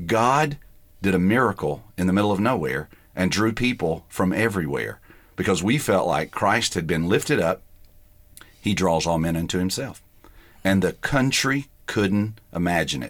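A man with a Southern US accent and a very deep, low pitch, with lively intonation at a moderate pace, on a very clean recording with a silent background. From US South (Georgia). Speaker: pastor. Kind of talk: interview.

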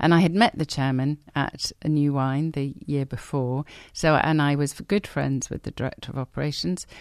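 A woman's very deep, low voice at a moderate pace with ordinary pitch variation, hardly any pauses, and a dry, close sound with no echo. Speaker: theologian and college principal. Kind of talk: radio interview.

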